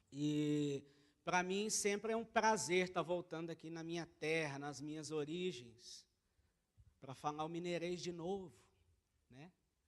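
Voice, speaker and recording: A man with a Minas Gerais accent talks at a fairly slow pace, leaving long, frequent pauses. His pitch is fairly high, with ordinary variation. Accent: Brazilian Portuguese, mineiro. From Brazil, Minas Gerais (Uberlândia). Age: 20s. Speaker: missionary. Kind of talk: church talk, mission report. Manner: hesitant, many fillers.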